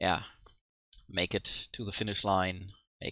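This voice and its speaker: A man with a German accent, very deep and low in pitch, at a moderate pace with monotone, flat intonation. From Germany. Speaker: let's play gamer. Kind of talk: casual gameplay commentary. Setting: home microphone, sometimes poor audio.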